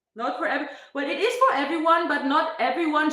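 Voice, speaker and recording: A woman talks at a moderate pace with lively intonation, and the room echo is audible. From Germany, Berlin. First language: German. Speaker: fitness streamer. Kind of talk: casual live stream chat. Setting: live stream.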